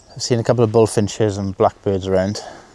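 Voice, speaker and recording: A man with a Welsh accent speaks at a moderate pace in a fairly low pitch. His tone is dark and mellow, and his intonation is flat and monotone. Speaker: photography vlogger. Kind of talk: vlog narration. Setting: outdoors. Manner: soft-spoken.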